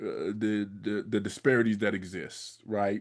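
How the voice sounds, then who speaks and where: Over a quiet background, a man with a medium pitch talks at a fairly slow pace in a normal speaking voice. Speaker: podcast host. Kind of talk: podcast interview question.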